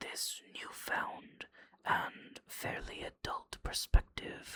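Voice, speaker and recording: The speaker is whispering. The pace is very slow. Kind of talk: personal reflective monologue about a book. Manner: whispered.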